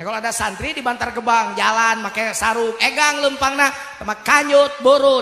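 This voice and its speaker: A man with a Sundanese accent speaks in a raised, projected voice at an extremely high pitch, his tone animated and his pace fairly quick, with ordinary pitch variation. Room echo is audible, and background noise is noticeable. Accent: Sundanese-accented Indonesian. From West Java, Sundanese region. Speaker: Islamic preacher. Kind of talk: sermon.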